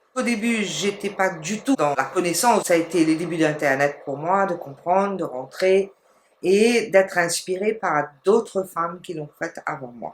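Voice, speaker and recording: Here is a woman with a normal speaking voice at medium pitch. She talks at a fairly slow pace with lively intonation. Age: 60s. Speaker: entrepreneur. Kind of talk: testimony.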